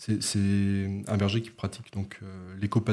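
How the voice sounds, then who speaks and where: A man talks at a fairly slow pace with a fairly low pitch. The recording is very clean, with a silent background. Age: 20s. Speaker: photojournalist. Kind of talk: interview. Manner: halting, many fillers.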